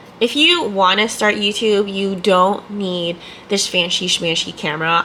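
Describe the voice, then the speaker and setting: Noticeable background noise runs beneath a woman who talks at a fairly slow pace. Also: medium pitch for a woman, ordinary pitch variation. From Canada. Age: 20s. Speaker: ER nurse. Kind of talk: casual talk to camera.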